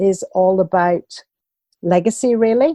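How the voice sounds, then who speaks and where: Dark and mellow in tone, a woman with a British accent speaks at a fairly slow pace with ordinary pitch variation. The sound is dry and close, without echo. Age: 60s. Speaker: walking coach and author. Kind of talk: podcast interview.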